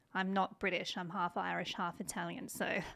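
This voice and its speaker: A woman speaks in a bright, sharp tone with vocal fry, at a moderate pace and in a flat monotone. The recording is very clean, with a silent background. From outback South Australia. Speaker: gun rights commentator. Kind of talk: political commentary video. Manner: emphatic.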